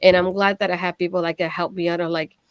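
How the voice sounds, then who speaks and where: A woman speaks very fast with a Puerto Rican accent, her pitch fairly low and her intonation flat and monotone. The sound is dry and close, with no echo. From Puerto Rico. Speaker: streamer and wrestling show co-host. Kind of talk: casual chat.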